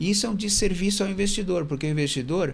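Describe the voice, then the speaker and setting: A man's voice with audible room echo. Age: 60s. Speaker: fund manager. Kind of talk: interview.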